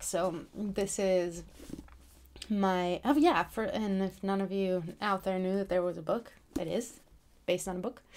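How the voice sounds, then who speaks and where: Soft-spoken and at a fairly slow pace, a woman talks at a medium pitch with fairly even intonation. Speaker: author and book vlogger. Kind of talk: casual vlog talk. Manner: hesitant, many fillers.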